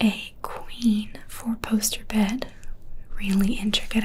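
Soft-spoken and gentle in tone, a woman talks over light background noise. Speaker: presenter. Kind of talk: property tour commentary. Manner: soft, gentle ASMR speaking voice. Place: home room.

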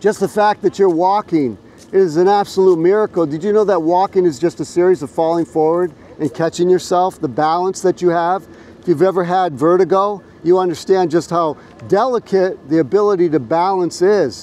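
Loud and high-pitched, a man speaks at a moderate pace in a dry recording with no echo. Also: ordinary pitch variation. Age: 60s. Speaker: street preacher. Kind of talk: street preaching, open-air sermon. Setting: outdoors on a college campus. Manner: loud, earnest, exhortative; direct, confident, pleading. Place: street.

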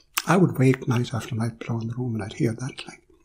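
A man with a Kerry accent at medium pitch, ordinary pitch variation, and noticeable background noise. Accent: rural Irish (Kerry). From Ireland. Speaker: philosopher. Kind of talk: storytelling interview.

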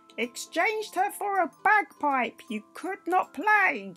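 A put-on character voice, croaky and fairly slow, plays over faint background music. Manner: scolding, mocking.

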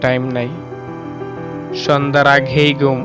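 A man's voice with music in the background. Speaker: poetry reciter. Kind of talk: poetry reading.

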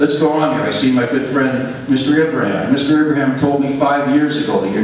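A man's fairly high voice at a moderate pace, with light background noise and strong room echo. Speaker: tenant and housing activist. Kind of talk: public deputation at a board meeting. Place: meeting room.

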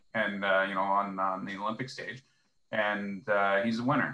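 With a Canadian accent, a man speaks in a bright, sharp tone at a fairly low pitch, with fairly even intonation and a moderate pace. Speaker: hockey blogger. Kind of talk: casual chat.

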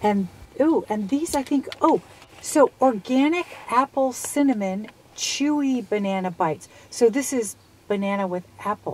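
A woman's high-pitched voice with very wide pitch swings, dry with no echo. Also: fairly slow pace. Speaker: vlog host. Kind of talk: casual product review chat. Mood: upbeat, curious. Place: car. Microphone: phone near.

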